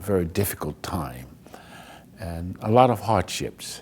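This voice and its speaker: With an American accent, a man speaks at a very deep, low pitch with vocal fry, lively intonation, and a fairly slow pace. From Alexandria, Virginia and Washington DC. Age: 70s. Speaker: community honoree, retired church volunteer. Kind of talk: documentary interview.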